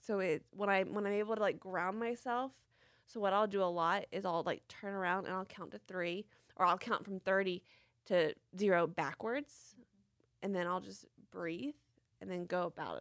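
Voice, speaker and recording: On a very clean recording with a silent background, a woman with a Tennessee accent speaks at a moderate pace. She leaves long, frequent pauses, and her pitch varies in an ordinary way. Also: medium pitch for a woman. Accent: Southern US (Tennessee). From US South, Franklin, Tennessee. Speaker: car accident and brain injury survivor. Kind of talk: testimony.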